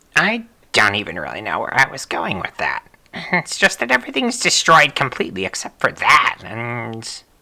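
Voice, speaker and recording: This is a put-on character voice at a moderate pace. Its pitch sits low to middle. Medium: game stream. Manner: terse, trailing off.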